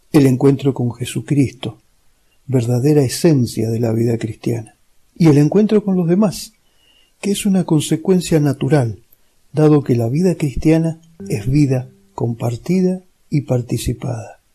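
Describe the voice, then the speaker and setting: Over music in the background, a man with a fairly high pitch and lively intonation speaks at a fairly slow pace with long, frequent pauses. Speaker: lay religious teacher. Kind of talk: lecture. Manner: clear, didactic.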